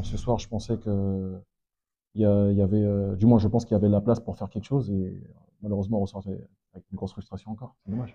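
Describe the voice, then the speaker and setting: A man talks at a very fast pace in a fairly low pitch, with a dark, mellow tone and monotone, flat intonation. His loudness swings widely, and he takes long, frequent pauses. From French Guiana. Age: 30s. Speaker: amateur footballer. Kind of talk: post-match interview. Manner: hesitant, many fillers.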